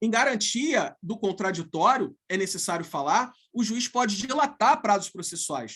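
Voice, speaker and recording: With a high voice and a bright, sharp tone, a man speaks at a fairly slow pace. His intonation is lively. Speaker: law professor. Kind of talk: lecture. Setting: video call.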